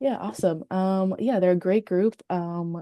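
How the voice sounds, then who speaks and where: Here is a woman with an American accent and an ordinary speaking voice. Her pitch varies in an ordinary way, and the sound is dry and close with no echo. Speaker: new real estate agent. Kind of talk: sales call role-play.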